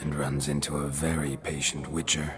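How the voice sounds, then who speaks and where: A cartoonish character voice moves at a moderate pace. Clear background noise runs underneath. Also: man. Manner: terse, gruff.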